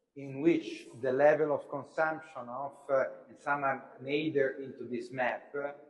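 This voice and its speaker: Delivery is fairly slow with monotone, flat intonation and big swings in loudness, set in audible room echo. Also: man, fairly high pitch for a man. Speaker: university lecturer. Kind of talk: lecture. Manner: hesitant, many filler sounds.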